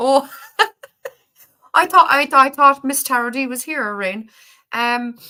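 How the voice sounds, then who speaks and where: A woman with an Irish accent uses a raised, projected voice at a high pitch in a bright, sharp tone, with ordinary pitch variation and big swings in loudness. She speaks at a fairly slow pace with long, frequent pauses. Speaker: spiritual livestream host. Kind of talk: casual live-stream chat. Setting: online livestream.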